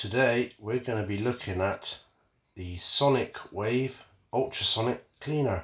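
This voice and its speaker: Speaking at a fairly slow pace, a man talks in a British accent. His medium pitch shows ordinary variation over a quiet background. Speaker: metal detecting hobbyist youtuber. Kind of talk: product unboxing review. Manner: casual with many fillers.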